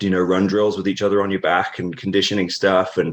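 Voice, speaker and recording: A man with a fairly low pitch talks with fairly even intonation. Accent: British. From England, Norfolk (East Anglia). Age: 30s. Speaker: professional wrestler. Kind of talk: interview. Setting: podcast.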